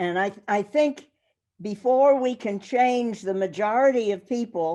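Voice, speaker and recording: A woman's fairly high voice with a dark, mellow tone and an American accent, very slow in pace, with ordinary pitch variation. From New York. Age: 80s+. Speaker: workshop participant. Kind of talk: group discussion.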